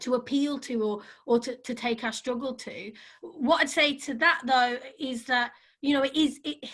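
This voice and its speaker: A woman with a high voice speaks at a moderate pace on a very clean recording with a silent background. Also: ordinary pitch variation. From Ireland. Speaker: activist. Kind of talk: panel discussion. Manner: halting.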